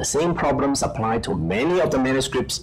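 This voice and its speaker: Noticeable background noise and audible room echo surround this man. He talks at a moderate pace and medium pitch. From Hong Kong. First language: Cantonese/Chinese. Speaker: professor and journal editor. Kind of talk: conference panel talk.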